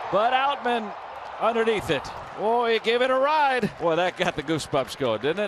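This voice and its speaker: At a moderate pace, a man talks at a high pitch with very wide pitch swings. His loudness is very even, and noticeable background noise is audible. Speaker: baseball broadcaster. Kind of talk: live sports commentary, analyst banter. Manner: upbeat, conversational, excited on homers.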